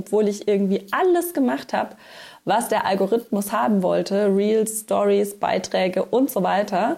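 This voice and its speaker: A woman with vocal fry and a dark, mellow tone speaks at a moderate pace, at a medium pitch with ordinary pitch variation. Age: 30s. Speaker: podcast host, business coach. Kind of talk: solo podcast monologue. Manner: casual.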